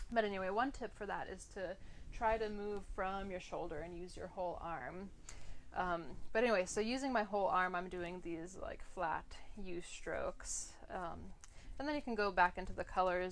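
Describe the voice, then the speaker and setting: This is an ordinary speaking voice with an American accent. The pace is moderate and the pitch varies in an ordinary way. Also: woman. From Philadelphia, US. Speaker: art instructor. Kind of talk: tutorial. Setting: live stream. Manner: casual, filler-heavy.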